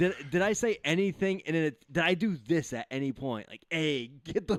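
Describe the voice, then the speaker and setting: With an American accent, the speaker talks at a moderate pace with lively intonation and hardly any pauses. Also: man. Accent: slight Boston accent, inconsistent. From New England. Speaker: radio show co-host. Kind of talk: casual chat.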